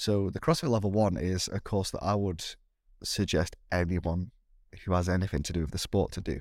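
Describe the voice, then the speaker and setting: Very deep and low, a man with a British accent speaks at a fairly quick pace with ordinary pitch variation. The recording is very clean, with a silent background. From Britain. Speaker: CrossFit athlete and primary school teacher. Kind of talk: casual interview chat.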